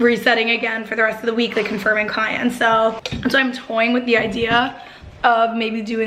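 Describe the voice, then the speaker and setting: A moderate pace amid audible room echo and noticeable background noise. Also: woman. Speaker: vlogger. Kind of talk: casual vlog talk. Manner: casual, filler-heavy.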